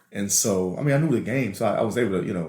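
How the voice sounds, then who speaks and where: In a room with audible echo, a man talks at a fairly low pitch with ordinary pitch variation. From New Orleans, Louisiana. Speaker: podcast co-host. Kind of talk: casual chat. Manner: animated storytelling.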